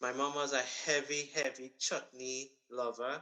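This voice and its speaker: A man with a strong Trinidadian accent speaks at a very slow pace in a bright, sharp tone. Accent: thick Trinidadian. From Trinidad and Tobago, Marabella. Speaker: accountant and music event organizer. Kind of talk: radio interview.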